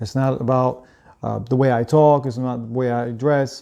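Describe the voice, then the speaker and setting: This man's voice has a dark, mellow tone. His pitch sits in the medium range. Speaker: sports betting show host. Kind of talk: casual sports picks monologue. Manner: monotone.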